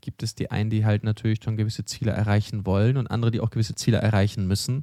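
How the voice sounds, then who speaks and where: A man at a very fast pace and fairly low pitch, dark and mellow in tone, with monotone, flat intonation, in a very clean recording with a silent background and a dry, close sound with no echo. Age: 40s. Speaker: startup news podcast host. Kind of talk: casual news chat.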